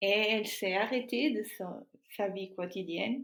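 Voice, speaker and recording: A woman with a Portuguese accent, speaking very slowly with ordinary pitch variation, on a very clean recording with a silent background. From Portugal. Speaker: artist and filmmaker. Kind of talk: interview answer.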